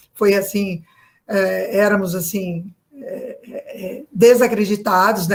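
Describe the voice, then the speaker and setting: A somewhat breathy woman's voice at medium pitch. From Brazil, São Paulo. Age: 60s. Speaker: real estate agent, political activist. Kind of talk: interview. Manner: hesitant, many fillers.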